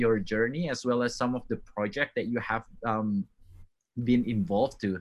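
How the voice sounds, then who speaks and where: A man talks in a bright, sharp tone with lively intonation. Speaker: podcast host. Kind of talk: interview.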